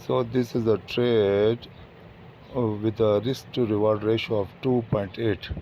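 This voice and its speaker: With a fairly low pitch, a man speaks in fairly even intonation and very even loudness. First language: not English. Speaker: forex trader. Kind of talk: trading tutorial. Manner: halting, many fillers.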